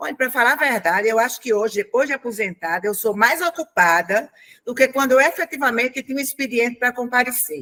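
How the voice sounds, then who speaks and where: Speaking at a fairly quick pace, a woman uses a high, bright, sharp tone with lively intonation in a dry, close sound with no echo. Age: 70s. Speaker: retired public servant, retirees' representative. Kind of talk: panel discussion. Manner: conversational.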